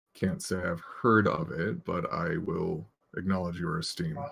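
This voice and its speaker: A man uses a raspy, put-on character voice. His pitch is very deep and low, at a moderate pace. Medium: actual play. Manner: dry, wry.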